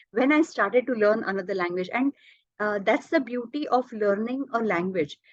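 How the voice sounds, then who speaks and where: In a Marathi accent, a woman talks at a moderate pace with lively intonation, the sound dry and close with no echo. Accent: Indian English, Marathi. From India, Maharashtra. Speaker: language teacher, polyglot. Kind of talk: interview. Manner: hesitant, many fillers.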